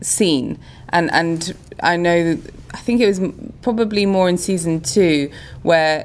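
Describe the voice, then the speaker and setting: An unremarkable speaking voice from a woman, fairly low in pitch, with ordinary pitch variation, very even loudness and a fairly slow pace. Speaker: actor guest. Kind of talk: interview answer. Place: hall. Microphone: phone near.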